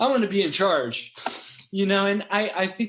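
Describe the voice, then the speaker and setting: A man speaks with a Californian accent. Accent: Californian American English. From US West Coast, Los Angeles (San Fernando Valley). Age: 60s. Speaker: founder of an ESL teaching website, former English teacher. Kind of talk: interview podcast, personal life story. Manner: hesitant, many fillers and restarts.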